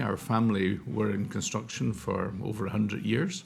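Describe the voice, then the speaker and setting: A man speaks fairly quickly with a Scottish accent. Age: 60s. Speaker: charity chief executive. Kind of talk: interview. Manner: hesitant, many fillers.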